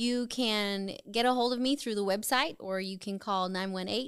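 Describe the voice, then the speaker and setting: This woman has a slight Southern US accent and a medium pitch, with ordinary pitch variation at a moderate pace. The recording is very clean, with a silent background. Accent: slight, hardly any Southern. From US South, Charlotte, North Carolina. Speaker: photographer and realtor, Air Force veteran. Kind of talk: casual interview. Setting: studio.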